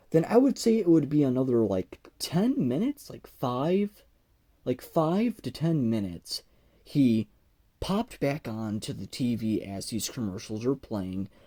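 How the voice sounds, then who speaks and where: A man speaks at a fairly slow pace in a medium-pitched voice with a dark, mellow tone. His delivery has very wide pitch swings and big swings in loudness, with a dry, close sound and no echo. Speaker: YouTuber. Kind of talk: casual storytelling. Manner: halting, repetitive, stuttering.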